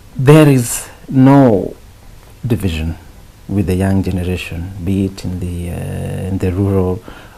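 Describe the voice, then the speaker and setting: Very deep, low male voice with a Kenyan accent, ordinary pitch variation and a fairly slow pace, amid noticeable background noise. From Kenya, Naivasha. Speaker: musician. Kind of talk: interview. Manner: halting.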